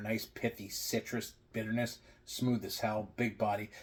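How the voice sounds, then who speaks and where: This man talks at a fairly slow pace in a fairly low, somewhat breathy voice. His intonation stays fairly even. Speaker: beer reviewer. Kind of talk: casual vlog review. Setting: at home. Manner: quiet.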